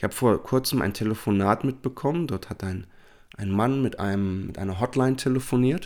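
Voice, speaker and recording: Over a very clean, silent background, a man talks fairly quickly at medium pitch. He has an unremarkable speaking voice with ordinary pitch variation. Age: 40s. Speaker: life coach and podcast host. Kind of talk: solo self-help monologue.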